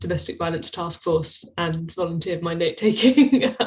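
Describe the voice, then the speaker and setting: A woman's fairly low, somewhat breathy voice with ordinary pitch variation at a fairly quick pace. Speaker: PhD researcher. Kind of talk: interview.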